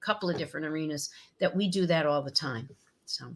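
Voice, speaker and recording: A woman speaks in an energetic tone at a fairly low pitch. Her pitch varies an ordinary amount, and the recording is very clean with a silent background. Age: 60s. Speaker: professional speaker and speech coach. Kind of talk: interview. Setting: podcast.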